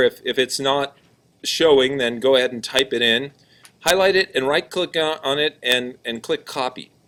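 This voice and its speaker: A man at a moderate pace, medium in pitch. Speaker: computer class teacher. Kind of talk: classroom tutorial. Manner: loud, projecting.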